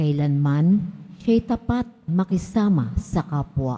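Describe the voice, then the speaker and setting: Somewhat breathy, a woman speaks very slowly in a fairly low pitch and dark, mellow tone, with lively intonation. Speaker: lay lector. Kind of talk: scripture reading aloud. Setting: church.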